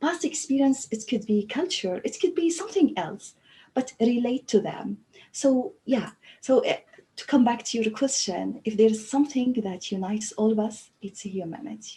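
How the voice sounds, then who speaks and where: Her high-pitched voice, in an Arabic accent, carries lively intonation as this woman speaks at a moderate pace. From Libya. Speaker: language teacher trainer. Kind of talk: panel discussion. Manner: halting.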